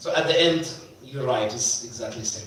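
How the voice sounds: A man talks at a fairly quick pace in a medium pitch. Strong room echo surrounds his voice. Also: ordinary pitch variation.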